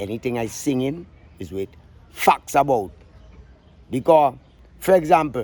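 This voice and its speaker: A man with a Vincentian accent at a medium pitch and moderate pace, with lively intonation, big swings in loudness, and long, frequent pauses. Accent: Vincentian Creole English. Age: 60s. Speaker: calypso singer. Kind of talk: interview. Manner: outspoken, emphatic.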